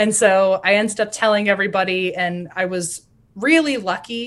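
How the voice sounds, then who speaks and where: Over a silent background on a very clean recording, a woman speaks at a medium pitch and a fairly slow pace. Hers is a normal speaking voice. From US South. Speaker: podcaster. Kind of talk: interview.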